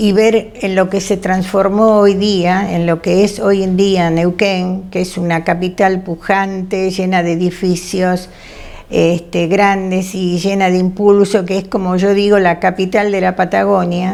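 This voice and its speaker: Over noticeable background noise, a woman speaks at a medium pitch. Her pace is fairly slow and her intonation monotone and flat. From Argentina, Buenos Aires. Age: 80s+. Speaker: retired teacher and family historian. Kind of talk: testimony. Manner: halting, with many fillers.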